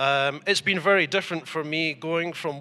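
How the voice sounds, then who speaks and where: A man with an Edinburgh accent, bright and sharp in tone, at a moderate pace in a very clean recording with a silent background. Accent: Scottish (Edinburgh). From Scotland, Edinburgh. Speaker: model maker and importer. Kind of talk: interview. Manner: hesitant, many fillers.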